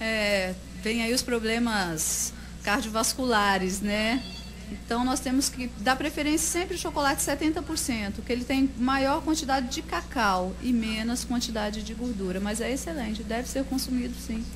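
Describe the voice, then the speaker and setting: A woman keeps a moderate pace as noticeable background noise runs underneath. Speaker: nutritionist; guest. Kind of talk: radio interview answer. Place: studio.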